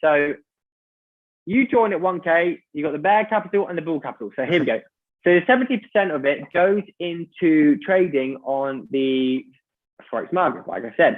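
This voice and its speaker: Lively in intonation, a man speaks at a high pitch. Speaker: business opportunity presenter. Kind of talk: sales pitch. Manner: fast.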